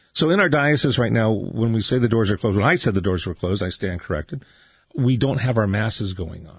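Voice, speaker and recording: A man speaks very fast at a medium pitch, with lively intonation and a somewhat breathy voice. The background is quiet. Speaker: radio host. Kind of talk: radio interview. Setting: studio.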